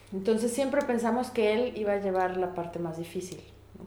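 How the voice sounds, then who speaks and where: Lively intonation at a moderate pace comes through noticeable background noise and audible room echo. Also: woman. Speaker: immigrant mother. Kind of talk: interview. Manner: reflective.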